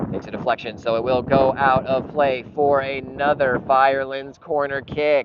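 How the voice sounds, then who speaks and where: Amid noticeable background noise, a man talks at a moderate pace in a medium pitch, his intonation monotone and flat, with hardly any pauses. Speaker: club's live stream commentator. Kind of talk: live commentary. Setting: outdoors at a soccer match.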